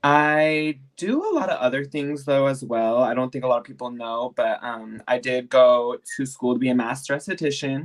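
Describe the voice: The pace is moderate, with few pauses. Pitch variation is ordinary.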